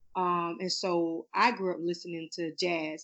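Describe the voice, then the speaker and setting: A woman with an American accent talks in an unremarkable speaking voice, with a fairly low pitch and fairly even intonation. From Florida, US. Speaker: singer and author. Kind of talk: casual interview chat.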